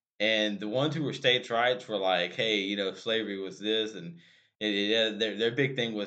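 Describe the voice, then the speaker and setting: The man's voice sits at a fairly low pitch with ordinary pitch variation. He keeps a moderate pace. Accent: Louisiana. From Louisiana. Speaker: podcast co-host. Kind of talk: casual chat. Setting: small room studio.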